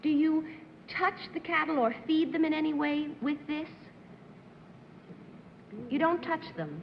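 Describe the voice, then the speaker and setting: Pitched high, a woman speaks in a monotone, flat way at a fairly slow pace, leaving long, frequent pauses. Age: young. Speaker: actress. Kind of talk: game show panelist questioning.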